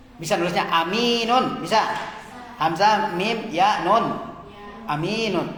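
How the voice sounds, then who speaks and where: Very slow delivery with long, frequent pauses and ordinary pitch variation, in audible room echo with noticeable background noise. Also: man, high pitch for a man. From Indonesia, outside Java. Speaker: Arabic teacher, Islamic cleric. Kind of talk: lecture. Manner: slow, repetitive drilling.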